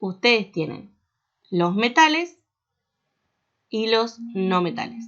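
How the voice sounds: A woman talks at a slow pace at medium pitch, her fairly bright tone carried by lively intonation.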